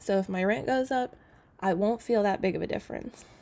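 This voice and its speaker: A woman's medium-pitched voice, dark and mellow in tone, at a fairly quick pace with ordinary pitch variation, on a very clean recording with a silent background. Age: 20s. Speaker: personal finance youtuber. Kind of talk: budgeting tutorial. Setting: home apartment. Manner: soft-spoken; casual with fillers. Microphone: laptop mic, keyboard louder than voice.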